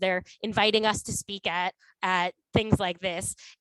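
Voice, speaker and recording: The sound is dry and close, with no echo. A woman talks at a medium pitch in a monotone, flat intonation. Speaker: climate nonprofit speaker. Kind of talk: webinar presentation. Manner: fast.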